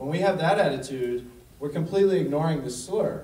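Audible room echo surrounds a man's speaking voice. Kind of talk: lecture. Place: hall. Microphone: pa.

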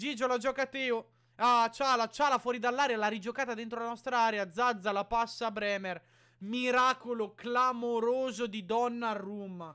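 Shouting in a raised, projected voice, bright and sharp in tone and animated, over a quiet background. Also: man, extremely high pitch for a man. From Italy. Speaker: YouTuber reacting to matches as a fan. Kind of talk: live sports commentary. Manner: animated, excitable, rapid-fire play-by-play with shouting and repeated names; emotional fan, exclaiming and pleading. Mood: excited, partisan. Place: home room. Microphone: studio mic.

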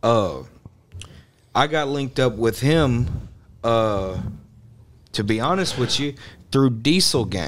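Against light background noise, a man talks at a very slow pace with long, frequent pauses and lively intonation. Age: 20s. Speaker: rapper; podcast guest or host. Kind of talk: casual chat. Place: studio. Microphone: studio mic.

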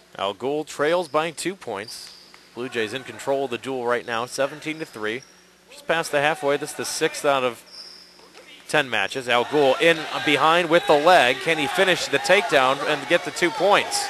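A man with a fairly high pitch and ordinary pitch variation speaks with big swings in loudness. The sound is dry with no echo, with noticeable background noise. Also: moderate pace. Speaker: sports commentator. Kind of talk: live wrestling play-by-play commentary. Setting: gym broadcast, online webcast. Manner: energetic but even-toned. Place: hall.

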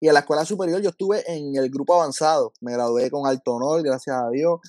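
Over a quiet background, the speaker goes at a moderate pace with ordinary pitch variation, and the sound is dry with no echo. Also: man. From Puerto Rico. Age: 30s. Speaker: school counselor and lay minister; lay minister. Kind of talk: testimony. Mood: warm, grateful. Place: home room. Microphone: video call.

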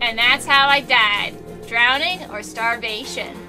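Over faint background music, a put-on character voice with a bright, sharp tone moves at a slow pace. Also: woman, fairly high pitch for a woman, ordinary pitch variation.

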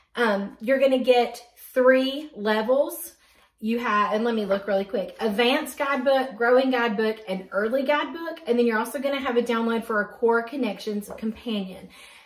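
A high-pitched woman's voice at a moderate pace, ordinary pitch variation, and audible room echo. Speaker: homeschool curriculum reviewer. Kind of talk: tutorial. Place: home room. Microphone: phone near.

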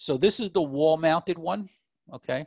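Vocal fry runs through this man's voice. His pitch variation is ordinary.

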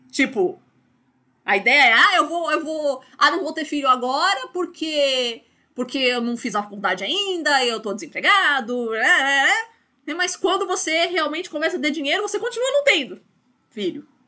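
Raised and projected, a woman's high-pitched voice with a bright, sharp tone moves through very wide pitch swings at a moderate pace. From Brazil, São Paulo. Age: 30s. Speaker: university lecturer. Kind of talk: online lecture. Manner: casual, filler-heavy with repetitions.

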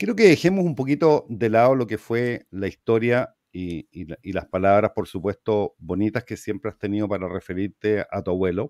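Against a quiet background with dry, echo-free sound, a man talks in an ordinary speaking voice at a fairly low pitch, with ordinary pitch variation, hardly any pauses and big swings in loudness. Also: moderate pace. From Chile. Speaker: talk show host. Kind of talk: interview. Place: home room. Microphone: webcam.

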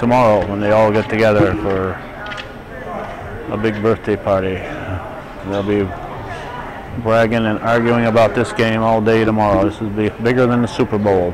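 A man's fairly low, monotone and flat voice at a moderate pace, broken by long, frequent pauses, over noticeable background noise. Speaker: amateur videographer announcer. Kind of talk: commentary. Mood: light-hearted, joking. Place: hall. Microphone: phone near.

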